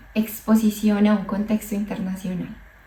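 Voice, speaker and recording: A woman talks while noticeable noise sits in the background. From Colombia. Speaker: psychologist vlogger. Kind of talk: personal storytelling vlog. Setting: outdoors, walking. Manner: hesitant, with fillers and repetitions.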